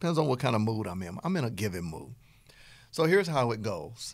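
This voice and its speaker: With a Southern US accent, the speaker has an animated tone and very wide pitch swings. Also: man. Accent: Southern twang. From US South. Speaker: business coach podcast host. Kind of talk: podcast lecture.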